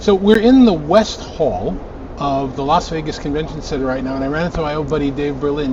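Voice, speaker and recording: Over noticeable background noise and audible room echo, a man talks fairly quickly with lively intonation. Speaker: tech news show host. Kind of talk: trade show walkthrough vlog. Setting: trade show floor, Las Vegas. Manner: loud, shouting over noise.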